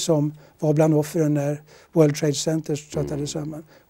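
A man talks at a moderate pace in a fairly high voice. His tone is dark and mellow. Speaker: retired international lawyer and diplomat. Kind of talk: interview.

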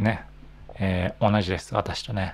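The man's speech moves along at a fairly slow pace. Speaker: Japanese language teacher podcaster. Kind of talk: casual monologue for learners. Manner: natural speed, relaxed. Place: home room. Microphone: handheld.

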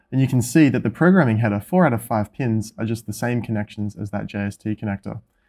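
The voice moves at a fairly quick pace with ordinary pitch variation. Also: man. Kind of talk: tutorial. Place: workshop. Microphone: camera far.

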